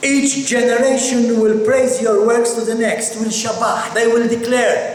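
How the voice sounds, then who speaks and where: Over noticeable background noise and audible room echo, a man speaks at a fairly slow pace with an extremely high pitch. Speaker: pastor leading a Bible study. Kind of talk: sermon. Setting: church with amplified system.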